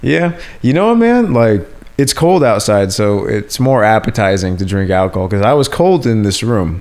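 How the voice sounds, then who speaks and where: Using an ordinary speaking voice, a man talks at a moderate pace and fairly low pitch, with lively intonation and very even loudness. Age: 30s. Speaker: podcast host. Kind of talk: casual chat. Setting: at home on a couch.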